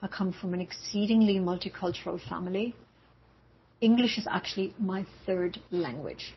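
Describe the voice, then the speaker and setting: The voice is somewhat breathy and moves at a moderate pace. Its pitch varies in an ordinary way. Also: woman, medium pitch for a woman. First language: German. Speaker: university language instructor. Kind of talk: lecture.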